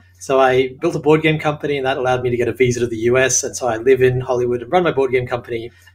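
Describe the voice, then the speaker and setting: In an Australian accent, a man talks at a very fast pace with a medium pitch. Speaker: sitcom writer and show creator. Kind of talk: interview. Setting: home apartment.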